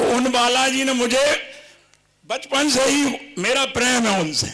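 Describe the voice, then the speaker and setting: Audible room echo surrounds a raised, projected voice. The loudness stays very even and the intonation fairly even. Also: man, extremely high pitch for a man. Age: 70s. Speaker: devotee, long-time Ramlila performer. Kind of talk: testimony.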